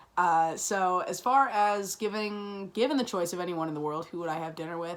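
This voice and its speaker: Over noticeable background noise, a woman with a Chicago-area accent talks at a fairly quick pace and fairly low pitch with fairly even intonation. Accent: Chicago-area American English. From Chicago south suburbs, US Midwest. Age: 20s. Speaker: college student. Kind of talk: class assignment self-introduction video. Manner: fast; many fillers (um, uh, like).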